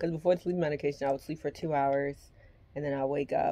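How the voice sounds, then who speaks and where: With a dark, mellow tone, a woman speaks at a very deep, low pitch. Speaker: vlogger. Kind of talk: casual vlog chat. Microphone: phone near.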